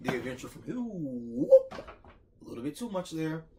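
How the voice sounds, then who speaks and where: A man with an American accent at a very fast pace over noticeable background noise. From Ohio, US. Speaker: mukbang youtuber. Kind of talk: casual vlog outro. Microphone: no microphone, far from camera.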